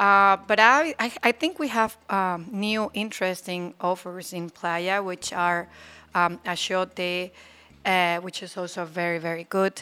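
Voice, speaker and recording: The tone is bright and sharp, with ordinary pitch variation and a Spanish accent. Delivery is fairly slow, on a very clean recording with a silent background. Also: woman, medium pitch for a woman. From Mexico (Aguascalientes). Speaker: attorney. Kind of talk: casual interview. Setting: studio.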